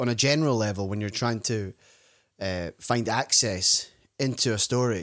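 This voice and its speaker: Man with a Scottish accent, medium pitch and ordinary pitch variation, on a very clean recording against a silent background. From Scotland. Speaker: podcast host. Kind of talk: interview.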